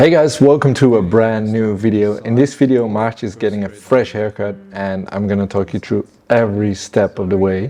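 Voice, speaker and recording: A man with a non-native accent at a fairly low pitch, moderate pace, ordinary pitch variation and hardly any pauses. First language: not English. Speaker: barber. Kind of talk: tutorial.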